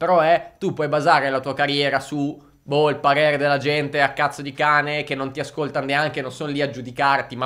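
A man's fairly high, bright, sharp voice at a fairly quick pace. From northern Italy, Lombardy (Crema); Lombardy, Italy. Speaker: music marketing entrepreneur; music marketing creator. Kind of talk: youtube monologue. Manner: animated. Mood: frank, mildly exasperated. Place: studio. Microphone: studio mic.

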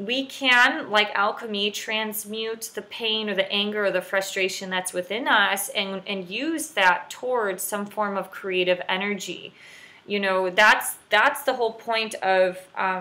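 The pace from this woman is fairly slow. Her pitch rises and falls in an ordinary way. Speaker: spiritual wellness vlogger. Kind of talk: casual advice vlog talk. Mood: calm, reflective. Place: home room. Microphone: webcam.

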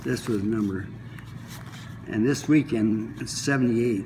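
With ordinary pitch variation, a man speaks over noticeable background noise. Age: 90s. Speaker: masters swimmer. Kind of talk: interview. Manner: halting. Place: hall. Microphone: phone near.

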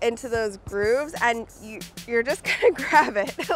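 A woman at a fairly slow pace with lively intonation, music in the background. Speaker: basketball player. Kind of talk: casual tutorial talk to camera.

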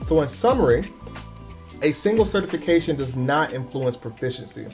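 A man talks at a fairly quick pace while clear music sounds behind him. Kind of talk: lecture. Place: home room.

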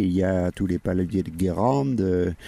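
Very slowly, a man speaks in a very deep, low pitch with ordinary pitch variation. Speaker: radio host. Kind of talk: interview. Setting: outdoors. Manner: halting.

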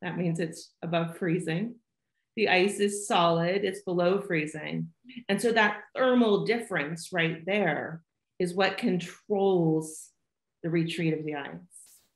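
Some room echo can be heard in a quiet background as the speaker goes at a fairly slow pace with fairly even intonation. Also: woman, fairly low pitch for a woman. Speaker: remote interviewee. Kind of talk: interview answer. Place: home room. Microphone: video call.

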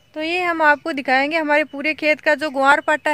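Raised and projected, a woman's voice carries a bright, sharp tone over monotone, flat intonation. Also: dry sound with no echo. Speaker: farm vlogger. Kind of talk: casual vlog chat. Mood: cheerful, smiling. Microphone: phone near.

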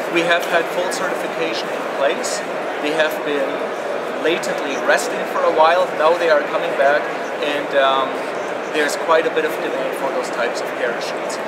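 This man keeps a moderate pace while loud background noise fills the recording. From Germany. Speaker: aviation safety engineer. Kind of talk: interview. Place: hall.

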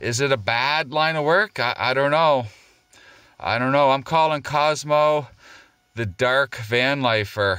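A bright, sharp tone in a dry sound with no echo over a quiet background. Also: man, ordinary pitch variation, fairly slow pace. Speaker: vlogger. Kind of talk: casual vlog chat. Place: car. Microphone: phone near.

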